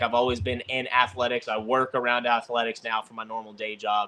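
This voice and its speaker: Bright, sharp tone from a man with a Southern accent, medium pitch and moderate pace. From Texas, north of Dallas. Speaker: disc golf player. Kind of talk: casual interview chat. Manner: filler-heavy, repetitive.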